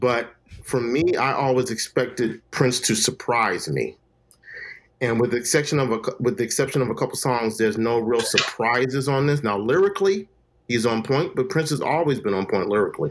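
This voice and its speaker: A man speaks in an ordinary speaking voice at a medium pitch, with very even loudness. His pace is fairly quick and his intonation lively. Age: 50s. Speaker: business owner and movie reviewer. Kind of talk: casual chat.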